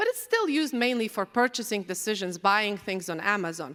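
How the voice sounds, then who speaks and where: Speaking at a moderate pace with a Polish accent, a woman uses very wide pitch swings and a bright, sharp tone. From Poland. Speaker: AI researcher. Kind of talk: conference talk. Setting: stage with audience.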